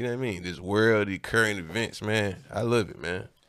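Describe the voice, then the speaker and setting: With an American accent, someone talks at a fairly quick pace in a bright, sharp tone, in a very clean recording with a silent background. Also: man. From Atlanta, College Park (South Side). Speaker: rapper. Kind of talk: casual chat.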